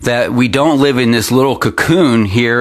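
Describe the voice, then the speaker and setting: A man with an American accent speaks in a medium pitch with ordinary variation over noticeable background noise. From Pennsylvania, US. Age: 50s. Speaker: local internet news host. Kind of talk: opinion commentary newscast. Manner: halting, many fillers.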